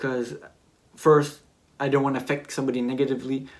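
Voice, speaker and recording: In a Quebec accent, a man talks at a medium pitch with monotone, flat intonation. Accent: French-Canadian accent in English. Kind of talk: personal testimony vlog. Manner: hesitant, searching for words.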